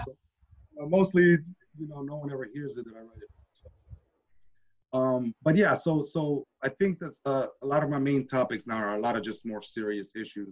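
Against a quiet background, a man speaks at a moderate pace with big swings in loudness. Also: ordinary pitch variation. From Washington D.C. area, born in Nicaragua. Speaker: hip-hop and spoken word poet, teacher. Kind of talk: interview answer. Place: home room. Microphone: video call.

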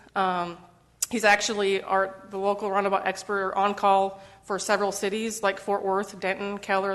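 Over a quiet background, a woman talks at a fairly quick pace in a medium pitch. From Michigan. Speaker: roadway design engineer. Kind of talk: presentation at council meeting. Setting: council chamber with audience, microphone. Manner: fast. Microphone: muffled when wearing mask.

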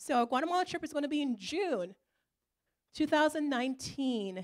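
A woman speaks rather quickly, her intonation lively, with little sound around her. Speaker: church trip organizer. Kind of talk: church announcement presentation. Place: church. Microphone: handheld.

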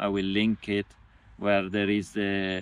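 With a dry sound and no echo, a man speaks at a fairly slow pace in a fairly low pitch. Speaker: cycling traveller vlogger. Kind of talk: casual vlog Q&A chat. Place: forest. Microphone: phone near.

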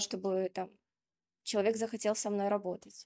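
This woman has a dark, mellow tone and talks at a moderate pace. Behind her, the background stays quiet. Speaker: doctor, coach and psychologist in training; coach. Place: hall. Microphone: handheld.

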